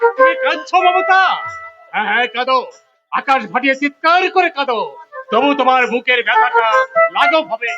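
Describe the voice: A man puts on a character voice at an extremely high pitch, bright and sharp in tone, with lively intonation at a moderate pace while faint music plays in the background.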